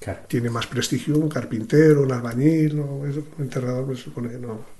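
Somewhat breathy, a man with a fairly high pitch has a dark, mellow tone. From Spain, Sanabria (Zamora). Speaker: retired gravedigger. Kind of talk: interview. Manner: halting.

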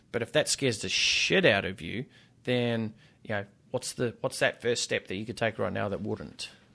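A man with an Australian accent, at a moderate pace. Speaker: fitness business coach and author. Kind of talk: casual interview chat. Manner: animated.

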